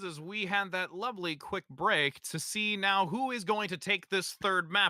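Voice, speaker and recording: A man projects a raised voice at a high pitch, his tone bright and sharp, with ordinary pitch variation and a dry, close sound with no echo. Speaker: esports caster. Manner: upbeat, energetic.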